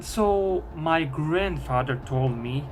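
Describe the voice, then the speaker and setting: Speaking with a non-native accent, a man is heard with audible room echo. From Bosnia. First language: Bosnian. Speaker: YouTuber. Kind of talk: storytelling. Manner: halting.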